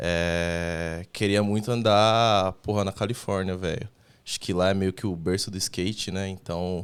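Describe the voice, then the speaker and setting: This man speaks in a very deep, low voice at a fairly slow pace, his intonation monotone and flat, on a very clean recording with a silent background. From Brazil, São Paulo. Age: 20s. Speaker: skateboarder, association member. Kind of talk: casual podcast interview.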